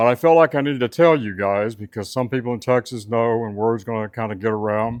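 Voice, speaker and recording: Speaking very fast, a man with a Southern US accent leaves hardly any pauses. His pitch variation is ordinary. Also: medium pitch for a man, dry, close sound with no echo, quiet background. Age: 70s. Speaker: welding instructor and video blogger. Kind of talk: personal testimony. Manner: conversational with hesitations.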